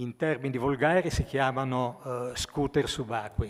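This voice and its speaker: A man talking against a quiet background. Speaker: presenter. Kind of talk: speech presenting awards. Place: hall. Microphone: podium.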